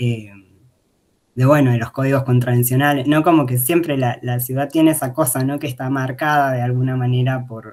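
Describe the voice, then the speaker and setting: A man with an Argentine accent talks at a moderate pace and medium pitch, his intonation flat and monotone. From Argentina, interior provinces. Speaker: academic researcher presenting thesis. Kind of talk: academic talk. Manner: hesitant, many fillers.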